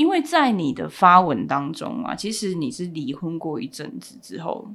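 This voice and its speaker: A woman speaks at a fairly slow pace with vocal fry and very wide pitch swings on a very clean recording with a silent background. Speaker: family lawyer and podcast host. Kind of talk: interview.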